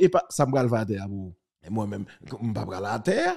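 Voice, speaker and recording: The recording is very clean against a silent background. At a very slow pace, a man talks. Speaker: journalist. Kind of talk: commentary.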